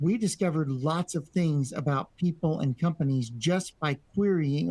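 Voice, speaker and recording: In a dry, close sound with no echo, a man speaks at a moderate pace with a dark, mellow, somewhat breathy tone, fairly high pitch and ordinary pitch variation. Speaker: networking instructor. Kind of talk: lecture.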